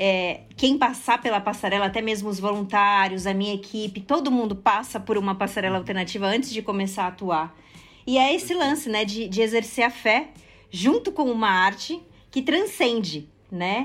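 Music in the background behind a woman's fairly high voice, with ordinary pitch variation, at a moderate pace. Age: 30s. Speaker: fashion social project founder. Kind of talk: interview.

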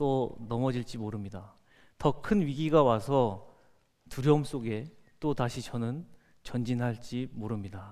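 A man talks at a very slow pace in a medium pitch, with a dark, mellow tone and ordinary pitch variation. Audible room echo surrounds the voice. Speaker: company founder and CEO. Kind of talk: motivational talk. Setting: stage with audience.

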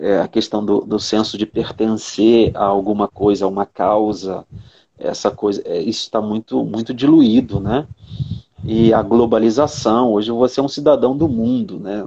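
A man with a normal speaking voice talks at medium pitch and a moderate pace, with ordinary pitch variation. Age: 50s. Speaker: psychologist. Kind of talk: casual chat. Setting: video call.

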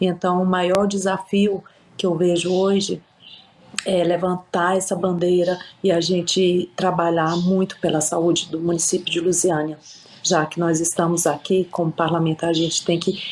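Over noticeable background noise, a woman with a fairly low pitch speaks at a fairly slow pace in a monotone, flat intonation with very even loudness. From Brazil, Piauí. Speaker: city councillor and lawyer. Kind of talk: interview.

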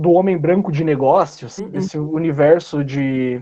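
With a dark, mellow tone, a man talks at a fairly slow pace. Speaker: podcast host. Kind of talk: casual chat.

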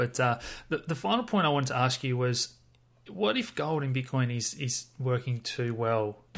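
Here is a man with a normal speaking voice. His pitch is medium and his pace fairly quick. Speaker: podcast host. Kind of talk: casual interview.

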